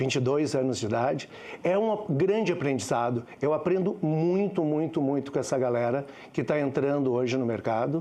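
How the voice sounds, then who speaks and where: A man with a dark, mellow tone speaks at a fairly high pitch and a moderate pace. His intonation is lively and his loudness very even. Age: 60s. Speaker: communications executive. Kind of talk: panel talk.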